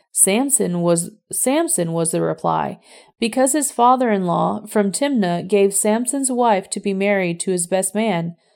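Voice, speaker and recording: An ordinary speaking voice moves at a fairly slow pace with lively intonation. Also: woman, medium pitch for a woman. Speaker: scripture reader. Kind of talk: audiobook-style scripture reading, measured and solemn. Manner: steady, even narration; formal, reverent.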